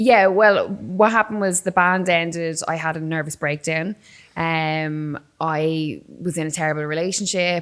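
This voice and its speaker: The speaker talks at a moderate pace with an Irish accent. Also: woman, fairly low pitch for a woman. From Ireland, Waterford. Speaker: combat sports presenter, former musician. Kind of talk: casual interview chat. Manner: animated storytelling.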